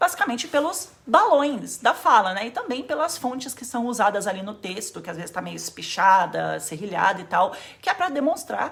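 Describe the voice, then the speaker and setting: A fairly high-pitched woman's voice with very wide pitch swings and big shifts in loudness, over noticeable background noise. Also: moderate pace, hardly any pauses. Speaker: anime YouTuber. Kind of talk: casual explainer video.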